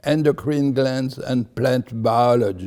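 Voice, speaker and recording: Speaking very slowly, a man uses a medium pitch, a dark, mellow tone and fairly even intonation. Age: 90s. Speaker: senior scientist. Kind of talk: interview testimonial.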